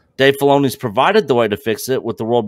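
The sound is dry with no echo and a quiet background. A man is speaking. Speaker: fan podcaster. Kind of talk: casual chat. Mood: opinionated, critical. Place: home room. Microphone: studio mic.

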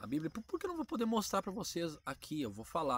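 This voice has vocal fry and very wide pitch swings. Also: man, dry sound with no echo. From Brazil. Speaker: Bible teaching YouTuber. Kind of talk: casual Bible teaching monologue. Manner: conversational, informal. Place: garden. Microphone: phone near.

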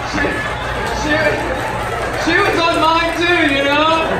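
Over loud background noise, a man speaks at a fairly slow pace in a room with audible echo. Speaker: stand-up comedian. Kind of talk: stand-up comedy set. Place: stage.

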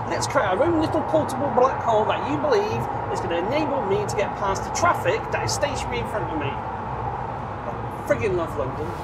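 Loud background noise runs under speech that has hardly any pauses. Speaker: van driver vlogger. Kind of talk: casual vlog chat. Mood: sarcastic, mildly annoyed. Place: car. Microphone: lapel.

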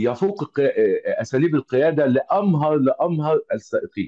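Someone with an Egyptian accent speaks at a fairly slow pace. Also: man. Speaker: automotive engineer and trainer. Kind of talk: online lecture. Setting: video call. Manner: halting, many filler sounds.

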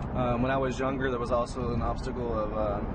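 A man is talking over loud background noise. The sound is dry, with no echo. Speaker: family vlogger. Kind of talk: casual vlog chat. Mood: reflective, calm. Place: car. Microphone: phone near.

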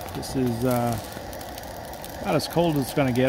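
The speech moves at a moderate pace with a dry sound and no echo. Noticeable background noise runs underneath. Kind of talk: casual vlog chat. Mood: relaxed, content. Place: forest. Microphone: phone near.

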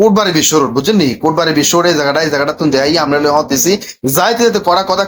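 Speaking in a Cumilla accent, a man uses a fairly high pitch with ordinary pitch variation. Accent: Cumilla regional Bengali dialect. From Bangladesh, Cumilla. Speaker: vlogger and motivational YouTuber. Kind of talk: travel vlog narration. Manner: casual, chatty.

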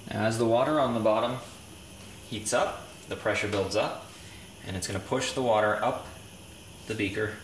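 Fairly even intonation, audible room echo and light background noise. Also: man, moderate pace. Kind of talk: tutorial. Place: kitchen. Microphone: camera far.

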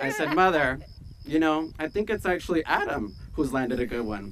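A man speaks with a fairly high pitch, a fairly bright tone and lively intonation. Faint background noise can be heard. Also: moderate pace.

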